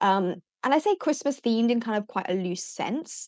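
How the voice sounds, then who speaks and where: Here a woman speaks at a fairly high pitch. The sound is dry and close with no echo, over a quiet background. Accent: British. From UK. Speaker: teacher and education business founder. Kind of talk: podcast interview.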